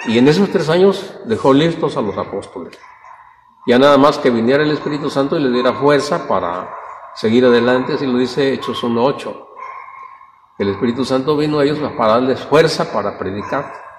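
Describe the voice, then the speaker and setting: A man's medium-pitched voice, fairly quick and lively in intonation, over noticeable background noise. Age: 70s. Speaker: Bible study teacher. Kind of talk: Bible study class. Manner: halting.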